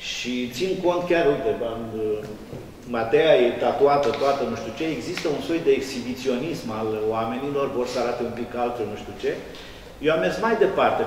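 A man speaks at a moderate pace with ordinary pitch variation. Audible room echo and light background noise surround him. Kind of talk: interview answer. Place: hall.

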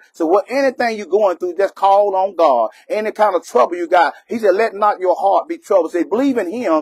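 Recorded with a dry, close sound and no echo, a man speaks at a high pitch with a slightly husky edge and ordinary pitch variation.

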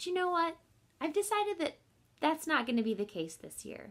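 The speaker is a woman. Her pitch swings very widely. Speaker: kindergarten teacher. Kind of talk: friendly talk to children. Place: home room. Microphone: webcam.

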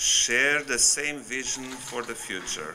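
A man talks at a fairly slow pace with ordinary pitch variation. Light background noise runs behind him. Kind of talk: formal speech. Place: hall. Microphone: podium.

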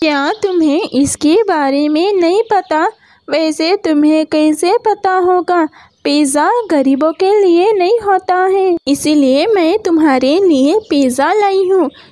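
A female-sounding cartoonish character voice is pitched extremely high. It moves at a very slow pace. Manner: haughty, mocking, condescending.

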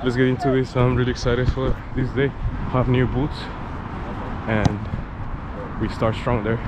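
Loud background noise sits behind a man speaking at a moderate pace. The sound is dry with no echo. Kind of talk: casual vlog chat. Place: open country. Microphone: helmet.

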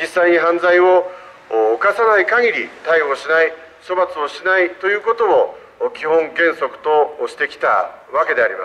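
The volume of this man's voice swings a lot. His pace stays moderate. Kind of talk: street political speech. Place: street. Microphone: handheld.

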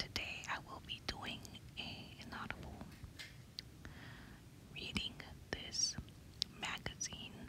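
A woman speaks with a dry sound and no echo. Loud background noise is present. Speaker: ASMR content creator. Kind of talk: ASMR magazine reading. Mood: calm, relaxing. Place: home room.

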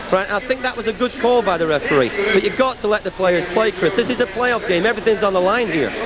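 Music plays in the background as a man talks very fast with hardly any pauses, his high pitch showing ordinary variation in a dry recording with no echo. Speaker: soccer coach. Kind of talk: heated halftime interview. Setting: arena floor. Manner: agitated, repetitive. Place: stadium. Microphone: handheld.

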